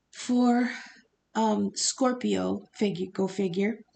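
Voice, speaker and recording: Against a quiet background, a woman speaks at a medium pitch in a dark, mellow tone. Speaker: tarot reader. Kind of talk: casual talk to camera. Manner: halting, stutters.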